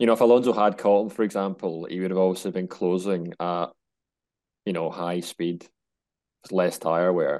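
A man with a Scottish accent and a very deep, low pitch, fairly even intonation, a moderate pace and long, frequent pauses, against a quiet background. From Scotland. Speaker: motorsport and golf journalist. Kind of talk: casual chat.

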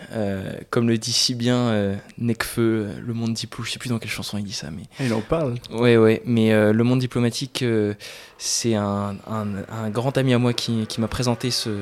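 At a moderate pace, a man speaks in an ordinary speaking voice, medium in pitch with fairly even intonation. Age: 20s. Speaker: business student. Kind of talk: casual chat.

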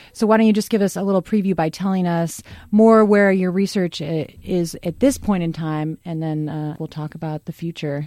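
Fairly low in pitch, a woman speaks with a dark, mellow tone and hardly any pauses. The recording is very clean, with a silent background. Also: ordinary pitch variation. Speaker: radio talk show host. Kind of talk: radio dj patter, upbeat station ids and show intros. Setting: radio studio. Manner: bright, polished, conversational, fast-flowing, bantering.

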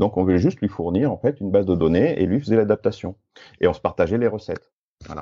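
With a dark, mellow tone, a man talks very fast with lively intonation. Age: 50s. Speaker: entrepreneur and data protection consultant. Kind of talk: interview.

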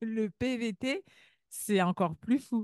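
Against a quiet background, the speaker's intonation is lively. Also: woman. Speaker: immigration consultant and podcast host. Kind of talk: casual interview.

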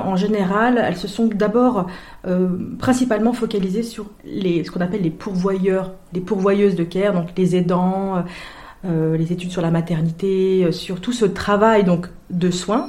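A woman speaks at a fairly slow pace in a medium pitch with fairly even intonation. Noticeable background noise and audible room echo are present. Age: 30s. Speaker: sociology doctoral student. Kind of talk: interview. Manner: hesitant, many fillers and repetitions.

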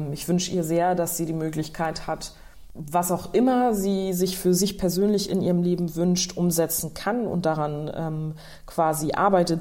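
At a moderate pace, the voice has a dark, mellow tone and fairly even intonation, with audible room echo. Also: woman. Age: 20s. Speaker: politician. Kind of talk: interview answers.

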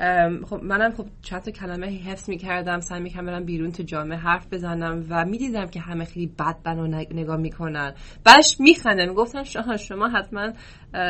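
A woman with an American accent speaks at fairly low pitch. Her loudness swings widely. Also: ordinary pitch variation, moderate pace. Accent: American-accented Persian. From US, Oklahoma. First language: English (speaking Persian). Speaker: football coach. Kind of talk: podcast interview. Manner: hesitant with fillers.

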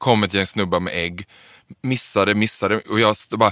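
This man has a plain, everyday voice, fairly low in pitch, at a moderate pace, with a dry, close sound, no echo, and a very clean recording over a silent background. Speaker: drag performer and trainee librarian. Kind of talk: casual interview.

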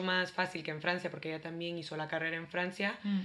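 With monotone, flat intonation, a woman talks at a fairly low pitch. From El Salvador. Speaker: startup worker in refugee integration. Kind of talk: casual chat.

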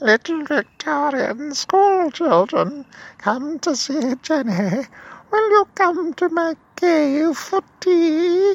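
This is a put-on character voice, high-pitched and cackling. It moves at a very slow pace. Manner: sinister, luring.

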